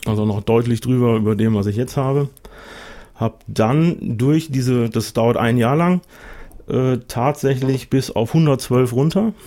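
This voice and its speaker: A man talks at a fairly slow pace with long, frequent pauses and very even loudness. His voice sits at a medium pitch with a dark, mellow tone. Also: ordinary pitch variation. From Westmünsterland, near the Dutch border. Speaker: guest planning weight-loss surgery. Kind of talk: casual chat. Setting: studio.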